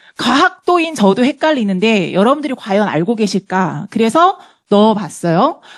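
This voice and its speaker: A woman speaks at a moderate pace in a fairly high pitch. Her pitch swings very widely, and the sound is dry and close with no echo. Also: very even loudness. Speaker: health product lecturer. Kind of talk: lecture.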